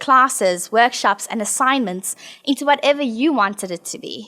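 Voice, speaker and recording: In a South African accent, a woman with a high pitch and a bright, sharp tone speaks at a moderate pace with lively intonation. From South Africa, Johannesburg. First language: not English. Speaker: alumna designer and researcher. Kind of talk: prepared presentation.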